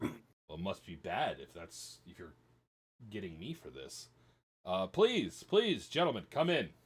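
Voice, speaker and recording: Booming and gruff, a man's put-on character voice of medium pitch moves at a fairly slow pace with very wide pitch swings and big swings in loudness. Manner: weary, authoritative.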